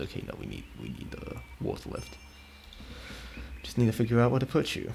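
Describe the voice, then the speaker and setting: A man talking at a fairly quick pace, with long, frequent pauses, big swings in loudness and noticeable background noise. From Italy. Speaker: video game streamer. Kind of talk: casual chat while live-streaming gameplay. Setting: live stream.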